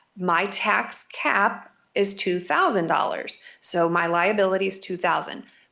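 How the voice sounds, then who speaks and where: A woman's bright, sharp voice at a medium pitch. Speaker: school finance consultant presenting to a school board. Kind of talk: presentation to a school board. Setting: school board meeting.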